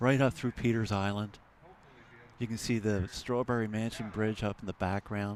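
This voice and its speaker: With an American accent, a man talks at a moderate pace. His fairly low voice keeps a monotone, flat intonation. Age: 60s. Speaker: rowing commentator. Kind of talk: live commentary.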